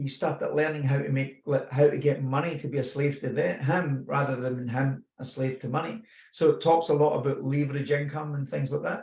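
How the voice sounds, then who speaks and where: Somewhat breathy, a man with a Scottish accent speaks at a fairly high pitch and a fairly quick pace. He keeps fairly even intonation with hardly any pauses. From Scotland. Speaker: personal growth speaker. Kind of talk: personal testimony. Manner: casual, with hesitations.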